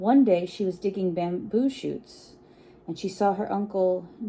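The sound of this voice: Pitch varies in an ordinary way through an unforced reading voice.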